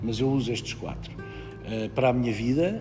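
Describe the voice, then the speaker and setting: With music in the background, a man delivers his words at a fairly slow pace. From Portugal, Ribatejo. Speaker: actor. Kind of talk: interview answer.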